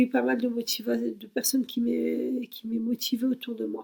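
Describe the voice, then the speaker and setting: A woman is speaking. Her pace is very slow. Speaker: YouTuber. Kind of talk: personal introduction vlog. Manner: halting, many fillers.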